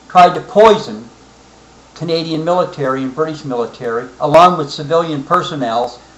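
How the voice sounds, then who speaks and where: The speaker uses ordinary pitch variation. Noticeable background noise runs beneath the voice. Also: man. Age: 60s. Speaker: military veteran. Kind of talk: personal political monologue. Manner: halting, frequent fillers.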